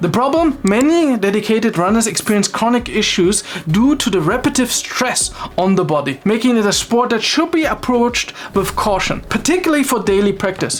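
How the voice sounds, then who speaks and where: A woman's fairly high voice with a non-native accent, a fairly quick pace, very wide pitch swings and very even loudness over noticeable background noise. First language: not English. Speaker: fitness video creator. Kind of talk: explainer video with personal commentary.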